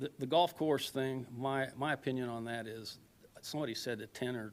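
Keeping a fairly even intonation, a man talks at a moderate pace and a medium pitch. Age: 60s. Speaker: resident speaking at public comment. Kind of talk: public comment at council meeting. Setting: city council chamber. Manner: halting, many repetitions.

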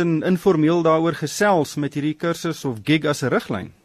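A man speaks in a dry recording with no echo. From South Africa. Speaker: radio presenter, financial journalist. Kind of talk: radio interview. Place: studio.

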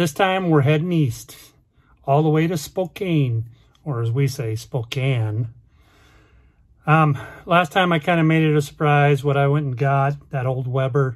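A somewhat breathy man speaks at a fairly slow pace with ordinary pitch variation and long, frequent pauses over a quiet background. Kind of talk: casual vlog chat. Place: car. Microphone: phone near.

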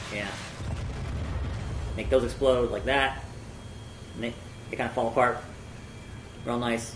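Over noticeable background noise, a man with a medium pitch talks at a moderate pace in a flat monotone, leaving long, frequent pauses. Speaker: gamer host. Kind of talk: gameplay explanation, casual talk. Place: home room.

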